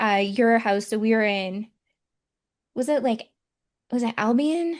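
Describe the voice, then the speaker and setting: Speaking with a Michigan accent, a woman has a fairly high pitch. She talks at a fairly slow pace. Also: ordinary pitch variation. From Michigan, US. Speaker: psychic medium and podcast host. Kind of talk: casual podcast conversation.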